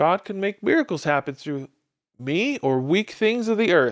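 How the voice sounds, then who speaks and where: The recording is very clean and the background silent. Speech moves at a moderate pace. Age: 40s. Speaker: podcast host; church member. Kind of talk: casual podcast talk.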